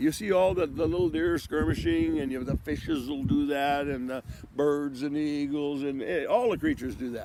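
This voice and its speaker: Noticeable background noise sits behind a man with lively intonation. He moves at a fairly quick pace with hardly any pauses. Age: 70s. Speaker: vlogger with ALS. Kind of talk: casual monologue. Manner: halting, many repetitions.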